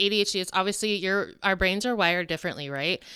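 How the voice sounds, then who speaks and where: A woman with an American accent speaks at a medium pitch in a bright, sharp tone. The recording is very clean with a silent background. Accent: southern US, stronger around country accents. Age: 40s. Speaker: podcast co-host. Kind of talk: casual chat.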